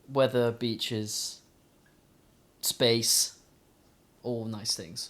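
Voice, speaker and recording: A man in a British accent talks at medium pitch with fairly even intonation, big swings in loudness, and long, frequent pauses. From South London, England. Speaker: student and engineer. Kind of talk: casual chat. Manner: halting, many fillers.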